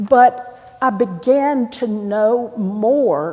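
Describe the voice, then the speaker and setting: A woman speaks with a North Carolina accent. Her intonation is lively. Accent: Southern US (North Carolina). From North Carolina, Hickory. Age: 70s. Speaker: priest. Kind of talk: sermon. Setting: church. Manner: conversational, with hesitations.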